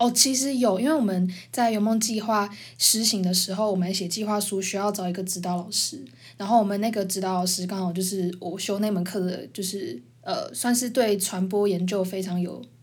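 A somewhat breathy woman's voice of medium pitch, at a moderate pace with ordinary pitch variation and audible room echo. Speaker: podcast host, university student. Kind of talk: casual chat.

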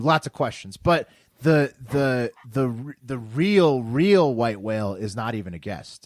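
In an ordinary speaking voice, a man talks with an American accent and lively intonation. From Washington D.C. area. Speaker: podcaster. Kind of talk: casual chat.

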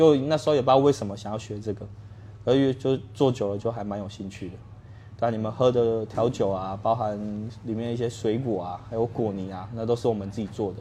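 A man talks fairly quickly at a medium pitch, his intonation fairly even. His loudness swings widely. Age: 30s. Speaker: bar owner. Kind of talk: interview.

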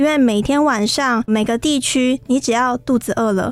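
At a moderate pace, a woman talks in a high voice. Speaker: radio host. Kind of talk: radio interview. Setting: studio. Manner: animated.

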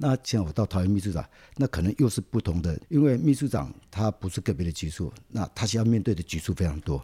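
A man with a fairly low pitch and a dark, mellow tone talks at a fairly quick pace. His pitch swings very widely, and the sound is dry and close with no echo. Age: 60s. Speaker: city government official, civil engineer. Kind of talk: interview. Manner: relaxed, many filler particles.

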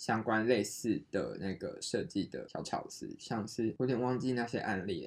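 This man has an ordinary speaking voice. His pitch is medium, with ordinary variation. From Taiwan. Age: 20s. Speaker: podcast co-host, designer. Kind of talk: casual chat.

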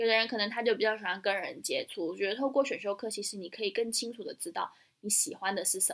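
A woman with a fairly high pitch and ordinary pitch variation talks at a very fast pace. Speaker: podcast co-host. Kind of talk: casual chat.

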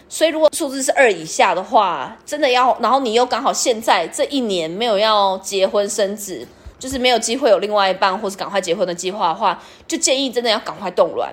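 The voice is an ordinary speaking voice with lively intonation. It moves at a fairly quick pace. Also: woman, fairly high pitch for a woman. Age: 30s. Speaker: podcast host. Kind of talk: personal experience monologue.

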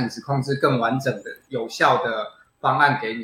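A man's medium-pitched voice, fairly quick and bright, sharp in tone. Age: 40s. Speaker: plastic surgeon and bodybuilder. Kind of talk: interview. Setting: video call.

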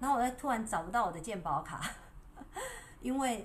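Against noticeable background noise, a woman talks with lively intonation in a Taiwanese accent. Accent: Taiwanese Mandarin. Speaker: wellness livestreamer. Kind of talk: casual livestream talk. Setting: livestream. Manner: soothing, sleep-inducing.

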